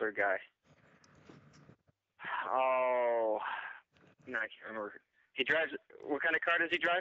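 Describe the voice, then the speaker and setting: With a quiet background behind him, the man holds a moderate pace and ordinary pitch variation. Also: dry sound with no echo. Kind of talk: phone conversation. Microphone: phone line.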